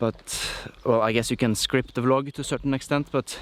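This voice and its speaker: The speaker has a non-native accent and talks at a moderate pace in a monotone, flat intonation. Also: man. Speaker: musician vlogger. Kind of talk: vlog monologue. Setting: outdoors, hiking.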